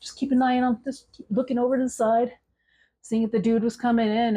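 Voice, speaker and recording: A woman at a very fast pace against a quiet background. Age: 40s. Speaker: budgeting vlogger and truck driver. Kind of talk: storytelling. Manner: casual, halting with repetitions.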